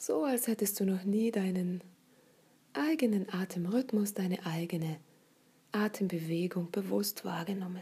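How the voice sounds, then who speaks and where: A gentle, soothing tone at a fairly slow pace, with long, frequent pauses. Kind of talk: guided meditation. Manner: slow, soft-spoken, soothing; gentle, unhurried, with long pauses.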